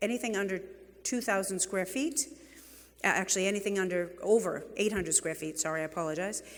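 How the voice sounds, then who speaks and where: Someone speaks at a very fast pace with a New England accent. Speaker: real estate executive and keynote speaker. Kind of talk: conference keynote speech. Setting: stage with audience. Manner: animated.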